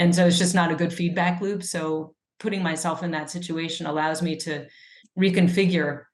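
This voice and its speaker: Speaking at a moderate pace, a woman with a New Jersey accent keeps a fairly low pitch in a monotone, flat intonation. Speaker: epidemiologist and author. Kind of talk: interview conversation.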